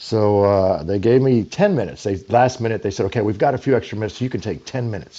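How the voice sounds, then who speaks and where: With a Texan accent and a dark, mellow tone, a man talks at a very fast pace. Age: 60s. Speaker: political candidate, military veteran. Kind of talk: interview.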